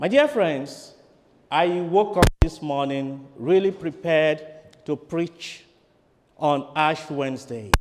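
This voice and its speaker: Speaking at a very slow pace with long, frequent pauses, a man with a Nigerian accent uses a fairly high pitch and ordinary pitch variation. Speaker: priest. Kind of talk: sermon.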